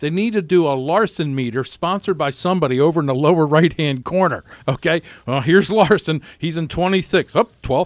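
A man with an unremarkable speaking voice talks at a fairly quick pace, with hardly any pauses. His fairly high pitch shows ordinary variation in a dry, close sound with no echo. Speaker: radio host. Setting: radio studio.

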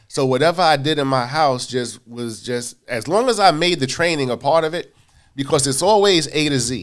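In a very clean recording with a silent background, a man talks at a moderate pace, his fairly high pitch showing ordinary variation. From New York City, Queens (South Jamaica). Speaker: timeshare sales manager. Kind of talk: interview. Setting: studio.

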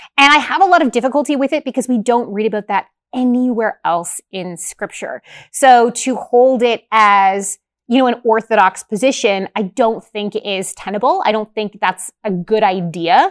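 A woman with a normal speaking voice talks at a fairly high pitch and moderate pace. Her intonation is lively, and the recording is very clean with a silent background. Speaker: Bible teacher and show host. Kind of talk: casual chat.

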